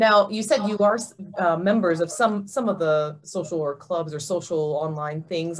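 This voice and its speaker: Using an ordinary speaking voice, a woman keeps a moderate pace. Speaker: doctor. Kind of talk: interviewer questions.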